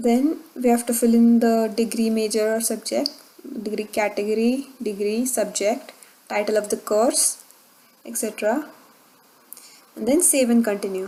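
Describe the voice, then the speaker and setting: The speaker has a Marathi accent and ordinary pitch variation. The pace is moderate, with long, frequent pauses. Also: woman, fairly high pitch for a woman. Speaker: tech tutorial YouTuber. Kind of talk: tutorial. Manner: hesitant with fillers.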